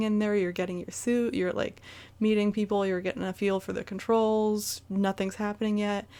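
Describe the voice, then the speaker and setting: A woman with an American accent talks at a very fast pace and a medium pitch. Her recording is very clean, with a silent background. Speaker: gaming YouTuber. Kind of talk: casual video game recap monologue. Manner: hesitant, many fillers.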